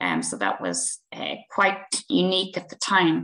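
A woman speaks in an Irish accent at a moderate pace. The background is quiet. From Ireland. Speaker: researcher and assistant professor; assistant professor. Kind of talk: academic webinar presentation. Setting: video call. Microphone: video call.

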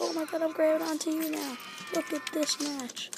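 At a moderate pace, a quiet voice comes through over noticeable background noise. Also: woman. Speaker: gaming video creator. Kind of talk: let's play commentary. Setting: library. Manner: animated; talking quietly.

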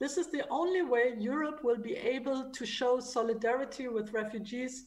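A woman's high-pitched voice in a German accent. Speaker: foundation department head and book editor. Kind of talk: book presentation. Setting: video call.

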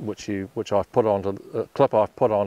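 Moderate-paced speech with fairly even intonation, dry with no echo, over faint background music. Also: man. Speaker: motorcycle vlogger. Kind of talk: casual vlog chat. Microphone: lapel.

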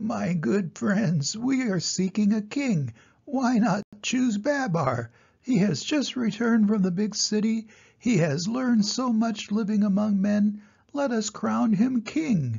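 A fairly high, shaky put-on character voice at a fairly slow pace

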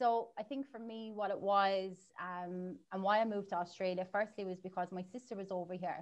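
A woman with an Irish accent, fairly even intonation and a quiet background. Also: moderate pace. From Ireland. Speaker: marketing agency owner; guest. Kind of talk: interview. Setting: livestream. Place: home room. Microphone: video call.

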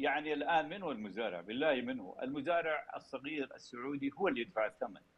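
A man's voice with vocal fry. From Saudi Arabia. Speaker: water resources academic; guest. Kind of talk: TV interview. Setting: video call. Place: home room. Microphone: video call.

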